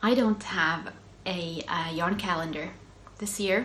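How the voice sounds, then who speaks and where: Amid noticeable background noise and audible room echo, a woman with a Swedish accent speaks at a fairly slow pace with ordinary pitch variation. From Finland, Swedish-speaking Ostrobothnia. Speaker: knitting podcaster. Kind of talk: casual chat. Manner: hesitant, many fillers.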